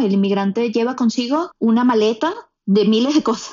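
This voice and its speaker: Speaking at a fairly quick pace, a woman with a plain, everyday voice uses a fairly high pitch and ordinary pitch variation. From Venezuela, Puerto Ordaz. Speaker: podcast producer, immigrant. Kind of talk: casual chat.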